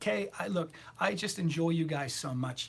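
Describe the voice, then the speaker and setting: A man at a moderate pace, fairly high in pitch, somewhat breathy, with lively intonation. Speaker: tarot reader. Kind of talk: livestream chat. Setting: live video stream. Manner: animated.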